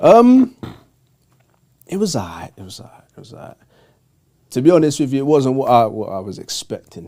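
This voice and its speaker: A man speaks in a London accent with a dark, mellow tone and fairly high pitch, his pitch swinging very widely. Long pauses come often, and his loudness rises and falls sharply. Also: moderate pace. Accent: London, multicultural London English. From north-west London. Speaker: youth football organiser. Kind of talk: casual interview.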